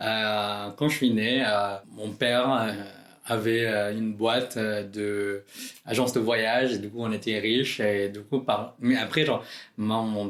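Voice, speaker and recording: A man's monotone, flat delivery. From Philippines. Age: 20s. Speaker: drag queen. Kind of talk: podcast interview. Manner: hesitant, many fillers.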